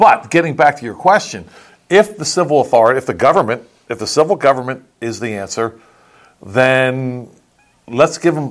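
With lively intonation and a fairly high pitch, a man talks at a moderate pace. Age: 60s. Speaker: pastor. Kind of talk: casual political discussion.

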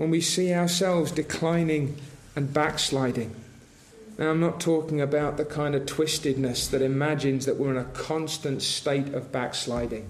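Noticeable background noise sits under a man's fairly high voice at a moderate pace. His intonation is fairly even and his loudness very even. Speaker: preacher. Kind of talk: sermon with fervent, pleading prayer for revival. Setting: church. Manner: fervent, earnest, pleading, imploring; repetitive, rhythmic pleading.

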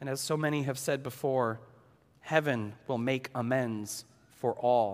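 Speaking with an American accent, a man uses an ordinary speaking voice at a medium pitch, with fairly even intonation and a fairly slow pace. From New England, US. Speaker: pastor. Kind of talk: sermon.

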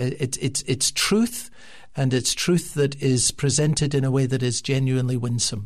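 A man's somewhat breathy, medium-pitched voice in an Edinburgh accent, at a moderate pace with ordinary pitch variation and very even loudness. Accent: Scottish (Edinburgh). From Scotland, Edinburgh. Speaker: pastor. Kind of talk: roundtable discussion.

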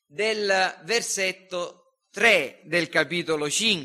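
A man's raised, projected voice has a bright, sharp tone and ordinary pitch variation. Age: 50s. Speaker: pastor. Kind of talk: sermon.

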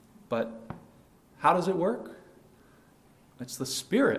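A man speaks with ordinary pitch variation in a room with audible echo. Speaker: pastor. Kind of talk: sermon.

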